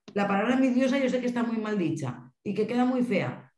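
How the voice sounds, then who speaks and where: Audible room echo surrounds a woman talking at a fairly quick pace. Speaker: mental health family association representative. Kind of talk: panel discussion. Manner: fast.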